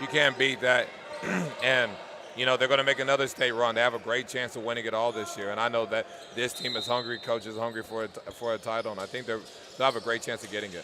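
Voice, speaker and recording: A man talks at a very fast pace in a flat monotone. Noticeable background noise runs underneath. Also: medium pitch for a man. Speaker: color commentator, former basketball player. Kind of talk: live commentary. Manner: loud.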